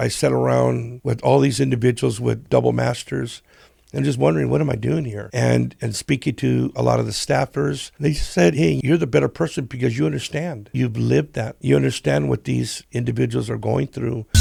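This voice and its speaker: With an American accent and vocal fry, the dark, mellow voice swings very widely in pitch at a moderate pace with hardly any pauses. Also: man, very deep, low pitch for a man. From Southern California. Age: 60s. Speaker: business leader. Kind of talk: casual interview.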